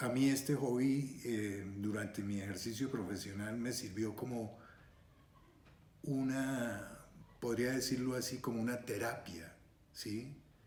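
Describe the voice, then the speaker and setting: A man speaks very slowly in a somewhat breathy, medium-pitched voice with fairly even intonation. Audible room echo surrounds the speech. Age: 70s. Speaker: retired surgeon and scale modeler. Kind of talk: interview monologue. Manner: hesitant with frequent fillers.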